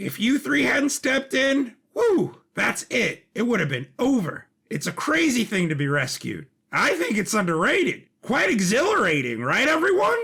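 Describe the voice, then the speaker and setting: Putting on a character voice, a man talks at a moderate pace with very wide pitch swings. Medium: audio drama. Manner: chatty, effusive.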